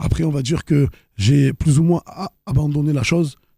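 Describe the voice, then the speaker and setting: Recorded with a dry, close sound and no echo, a man speaks somewhat breathily at a fairly high pitch, with ordinary pitch variation and a moderate pace. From Marseille, France. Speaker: rapper and actor. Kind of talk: interview answer. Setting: studio. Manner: casual, relaxed.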